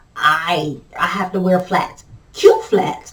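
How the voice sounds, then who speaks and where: A woman speaks at a very slow pace with a medium pitch. Noticeable background noise is present. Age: 40s. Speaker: vlogger living with multiple sclerosis. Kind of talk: casual chat. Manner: halting, with repetitions and fillers.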